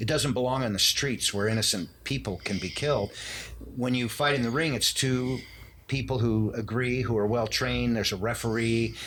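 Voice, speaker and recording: This man has an ordinary speaking voice at a medium pitch, with very even loudness and fairly even intonation. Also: moderate pace. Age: 60s. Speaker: martial arts instructor and artist. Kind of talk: podcast interview.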